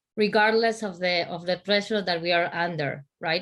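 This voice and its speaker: On a very clean recording with a silent background, a woman speaks with an Argentine accent. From Argentina. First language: Spanish. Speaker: conference speaker, business leader. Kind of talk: panel discussion. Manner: halting, many false starts and repetitions.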